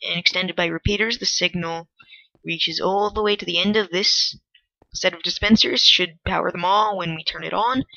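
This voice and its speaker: Quiet speech at a moderate pace. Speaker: gaming video creator. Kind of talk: game commentary. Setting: at home. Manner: quiet, hushed; awkward.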